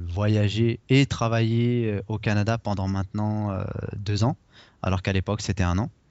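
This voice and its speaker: At a fairly slow pace, a man speaks in an ordinary speaking voice with a fairly low pitch and fairly even intonation. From Paris region, France. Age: 30s. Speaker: blogger and investor, expatriate. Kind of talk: interview.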